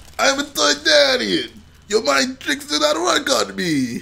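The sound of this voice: Talking at a fairly slow pace, a man puts on a character voice pitched high for a man.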